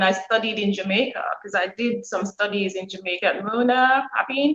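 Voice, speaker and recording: Speaking in a Montserratian accent, a woman talks at a moderate pace and a fairly high pitch with ordinary pitch variation. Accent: Montserratian Caribbean English. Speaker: author and former nurse. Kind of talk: interview.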